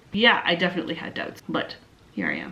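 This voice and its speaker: A woman with a Canadian accent speaks at a fairly quick pace. Noticeable background noise can be heard. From Canada. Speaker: YouTuber. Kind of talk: Q&A vlog. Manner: animated.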